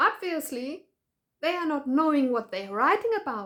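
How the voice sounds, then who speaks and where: A woman speaks in a German accent with very wide pitch swings. The recording is very clean, with a silent background. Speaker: patient advocate vlogger. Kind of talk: video commentary. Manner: halting.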